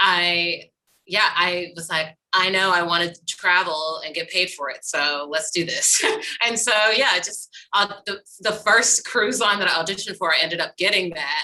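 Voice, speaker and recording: In an American accent, a woman with a normal speaking voice talks at medium pitch and a moderate pace, with ordinary pitch variation and big swings in loudness. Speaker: musical theatre actor and singer. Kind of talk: casual chat.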